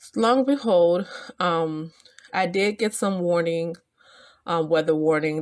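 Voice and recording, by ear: A woman talks at a low pitch with a slightly mellow tone. Her intonation stays fairly even.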